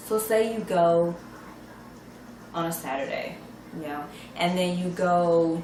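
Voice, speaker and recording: In a room with audible echo and noticeable background noise, a woman with a fairly low pitch speaks at a very slow pace, leaving long, frequent pauses. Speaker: mom vlogger sharing shopping tips. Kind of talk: casual vlog talk to camera. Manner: animated.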